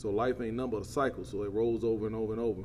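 A dark, mellow tone in a Southern US accent, with fairly even intonation. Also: man. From US South, south Georgia (Quitman). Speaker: plant operations manager and volunteer football coach. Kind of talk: casual interview.

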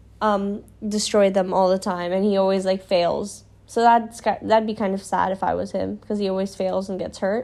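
Her voice has a dark, mellow tone, sitting at medium pitch for a woman with monotone, flat intonation at a moderate pace. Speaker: podcast host. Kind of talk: casual solo podcast monologue. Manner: stuttering, filler words; casual, rambling.

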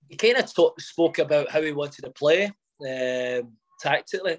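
Recorded with a dry, close sound and no echo, a man speaks in a fairly high voice. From Lytham, Lancashire, England. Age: 30s. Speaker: professional footballer. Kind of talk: casual interview chat.

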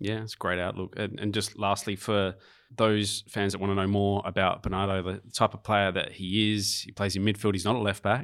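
With an Australian accent, a man talks at a fairly quick pace and a fairly low pitch. His intonation is monotone and flat, and the recording is very clean with a silent background. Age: 40s. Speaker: podcast host. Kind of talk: casual interview.

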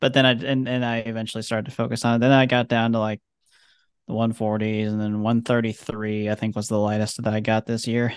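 A man's normal speaking voice, medium in pitch and fairly quick in pace, over a quiet background. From US Midwest. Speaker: podcast guest, former co-host. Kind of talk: casual chat.

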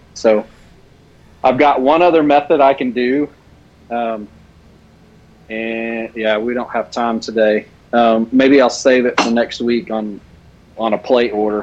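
Long, frequent pauses break up this man's fairly slow speech. His medium-pitched voice keeps a fairly even intonation. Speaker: custom soft plastic lure maker. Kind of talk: casual chat and live tutorial.

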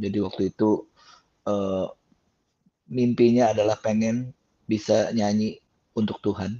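Speaking at a fairly slow pace with long, frequent pauses, a man keeps his fairly low pitch in a monotone, flat intonation. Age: 50s. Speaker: gospel singer and songwriter. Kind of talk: testimony. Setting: video call.

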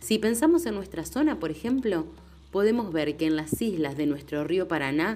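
A woman speaks in a normal speaking voice, with a fairly low pitch and lively intonation. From Entre Ríos, Argentina. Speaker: podcast narrator. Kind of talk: scripted narration.

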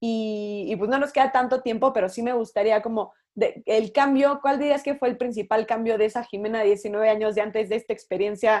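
A woman with an unremarkable speaking voice talks at a fairly high pitch. Her intonation is fairly even, and the background is quiet. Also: moderate pace. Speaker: podcast host. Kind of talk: interview.

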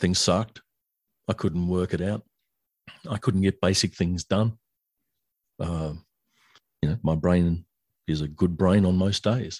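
Speaking with an Australian accent, a man uses a very deep, low pitch and fairly even intonation at a fairly slow pace with long, frequent pauses, in a dry, close sound with no echo. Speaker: author and songwriter. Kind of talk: interview.

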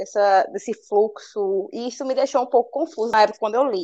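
Against a quiet background, a woman uses a normal speaking voice, fairly high in pitch, at a moderate pace with ordinary pitch variation. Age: 20s. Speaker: book club guest, literary Instagram creator. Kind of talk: casual book discussion.

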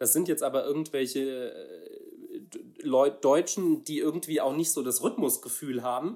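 Fairly high in pitch, this man's voice has a dark, mellow tone. He talks at a moderate pace with ordinary pitch variation. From Saarland, Germany. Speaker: pastor. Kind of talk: casual chat. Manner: halting.

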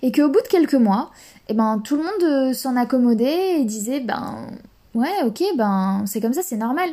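Lively intonation marks a woman's dark, mellow voice. She talks at a fairly slow pace. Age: 20s. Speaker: podcast host. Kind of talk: solo podcast monologue. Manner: hesitant, with fillers.

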